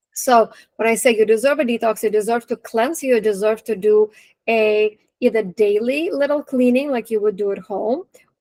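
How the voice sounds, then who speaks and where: Speaking with a Russian accent, a woman uses a fairly high voice with ordinary pitch variation at a moderate pace, in a dry, close recording with no echo. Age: 40s. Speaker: nutrition and wellness coach. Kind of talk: webinar talk. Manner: casual, animated.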